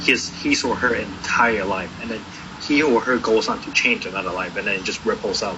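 A man at a fairly quick pace, with audible room echo and noticeable background noise. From Taiwan. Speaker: recovering addict sharing his story. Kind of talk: interview testimony. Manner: halting, many repetitions.

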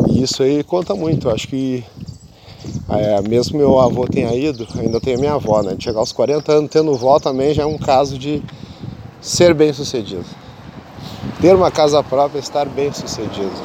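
With noticeable background noise behind him, a man's fairly high voice shows ordinary pitch variation and breaks into long, frequent pauses. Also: moderate pace. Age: 40s. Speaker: podcaster. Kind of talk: casual monologue. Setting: outdoors on a beach. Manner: relaxed.

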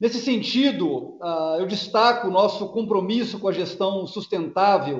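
A man talks at a fairly slow pace. His voice sits high in pitch. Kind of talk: earnings call presentation and Q&A. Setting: video conference.

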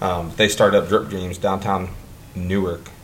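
A man talks with an American accent, and the room echo is audible. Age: 30s. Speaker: podcast host. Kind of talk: casual chat.

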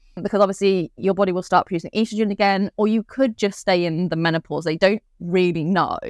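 With a British accent, a woman races along at a very fast pace with hardly any pauses and ordinary pitch variation, in a dry, close sound with no echo. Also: medium pitch for a woman. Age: 30s. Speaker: podcast host, breast cancer survivor. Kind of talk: casual chat.

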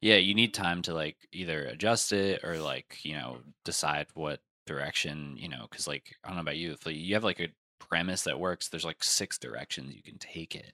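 A man's very deep, low voice with a bright, sharp tone and an American accent, at a fairly quick pace with ordinary pitch variation and big swings in loudness, dry and close with no echo, in a very clean recording with a silent background. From New Jersey. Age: 20s. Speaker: comedian. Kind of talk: casual chat.

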